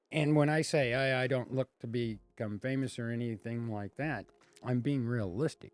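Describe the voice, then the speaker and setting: Over music in the background, a man talks at a moderate pace. His pitch sits at a medium level and his intonation stays fairly even. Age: 60s. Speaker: comedian. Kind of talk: casual chat.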